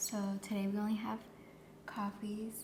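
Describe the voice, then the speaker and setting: Over noticeable background noise, a woman with a medium pitch speaks at a moderate pace in a calm tone with monotone, flat intonation. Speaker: ASMR creator doing a cafe barista roleplay. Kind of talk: soft-spoken ASMR roleplay. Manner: soft-spoken, calm, customer-service tone.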